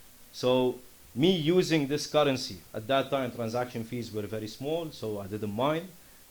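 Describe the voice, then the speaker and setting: Ordinary pitch variation marks this man's voice as he talks at a moderate pace. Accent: Lebanese. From Lebanon. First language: Arabic. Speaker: startup founder. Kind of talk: conference presentation.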